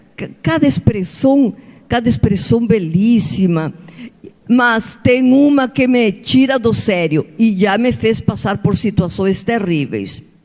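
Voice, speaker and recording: The speaker has a Spanish accent and a very slow pace. Noticeable background noise runs throughout. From Peru. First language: Spanish (speaking Portuguese). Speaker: author. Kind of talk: seminar talk. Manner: animated.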